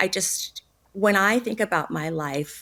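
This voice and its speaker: This woman speaks with an American accent. Her pitch varies in an ordinary way. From Phoenix, Arizona. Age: 60s. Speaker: abuse survivor and author. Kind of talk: interview testimony. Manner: halting.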